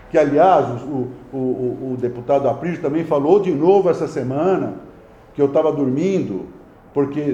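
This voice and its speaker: In a room with audible echo, a man speaks at a moderate pace and fairly high pitch, with ordinary pitch variation. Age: 60s. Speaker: mayor. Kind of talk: press conference. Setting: press conference with reporters. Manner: halting, frequent stammered repetitions.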